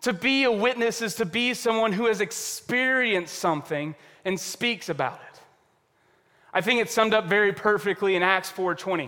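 A man's raised, projected voice at a high pitch, bright and sharp in tone, with ordinary pitch variation and a moderate pace. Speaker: pastor. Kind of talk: sermon. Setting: church service.

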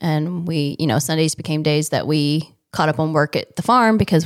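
Delivered at a fairly quick pace with fairly even intonation, the speech sits on a very clean recording with a silent background. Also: woman. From Indiana, rural area north of Indianapolis. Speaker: children's ministry director, former agriculture teacher. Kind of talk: casual interview.

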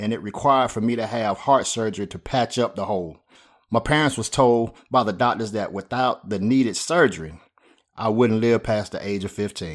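On a very clean recording with a silent background, a man in a Southern US accent speaks with ordinary pitch variation. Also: medium pitch for a man, moderate pace. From US South, Spartanburg, South Carolina. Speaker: podcast host and pastor. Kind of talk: scripted monologue.

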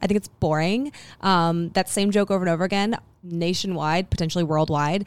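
Her loudness very even, a woman with a medium pitch speaks with lively intonation. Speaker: podcast co-host, office supply marketer. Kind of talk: casual interview. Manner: fast talker, interrupts.

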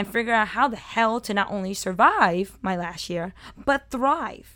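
Loud and animated, a woman with an American accent speaks at a moderate pace in a bright, sharp tone with lively intonation and a fairly high pitch. The recording is very clean, with a silent background. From Brooklyn, New York. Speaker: podcast host and culinary producer. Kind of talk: scripted-feeling solo personal narration. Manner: animated, talkative, loud.

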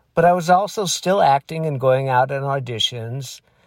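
A man speaks in a plain, everyday voice at medium pitch, with an American accent and lively intonation. The recording is very clean, with a silent background. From Michigan. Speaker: entertainment industry insider. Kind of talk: interview.

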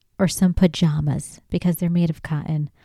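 The dark, mellow tone comes through a very clean recording with a silent background, dry and close with no echo. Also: woman. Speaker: podcaster and aspiring comedian. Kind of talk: casual comedic monologue. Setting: home room, solo recording. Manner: loud, animated, passionate.

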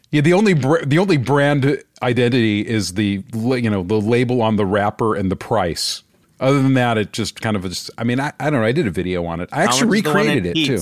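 An unremarkable speaking voice from a man, fairly quick with hardly any pauses and lively intonation, in a very clean recording with a silent background. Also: medium pitch for a man. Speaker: podcast co-host. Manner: casual, conversational.

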